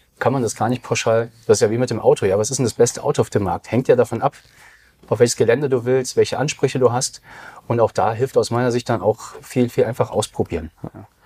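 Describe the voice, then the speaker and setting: A man speaks at a very fast pace with a somewhat breathy, dark, mellow tone. His pitch is medium, his intonation is fairly even, and the sound is dry and close with no echo. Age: 40s. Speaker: digital business consultant. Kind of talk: casual interview.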